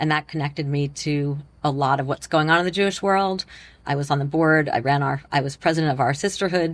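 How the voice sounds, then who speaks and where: A woman with an American accent speaks at a fairly quick pace in a very deep, low pitch with fairly even intonation over a quiet background. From Long Island, New York. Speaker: philanthropist. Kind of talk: interview.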